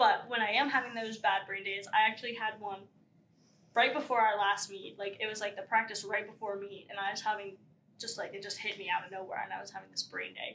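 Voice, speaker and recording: A woman with an American accent and fairly high pitch, bright and sharp in tone, very fast, with fairly even intonation and big swings in loudness. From Pennsylvania. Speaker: college athlete. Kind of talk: interview. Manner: casual, filler-heavy.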